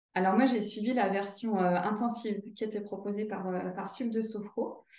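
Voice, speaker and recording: Speaking at a fairly slow pace, a woman has a medium pitch and ordinary pitch variation. Room echo can be heard. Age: 30s. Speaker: sophrologist and career counselor. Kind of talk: testimonial interview. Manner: hesitant, many fillers.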